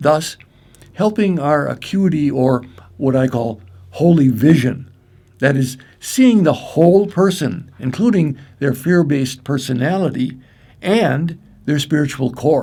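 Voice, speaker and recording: With a Midwestern American accent, a man speaks fairly slowly at a fairly high pitch, using ordinary pitch variation, a dark, mellow tone and long, frequent pauses. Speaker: clinical psychologist and breathwork trainer. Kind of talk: training presentation. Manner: formal.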